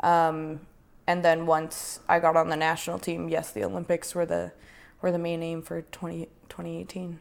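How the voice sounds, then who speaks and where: A woman with a western Canadian accent talks at a moderate pace with a fairly low pitch. Her intonation stays fairly even, though her loudness swings a lot. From Prince George, British Columbia, Canada. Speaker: Olympic snowboarder. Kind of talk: casual interview.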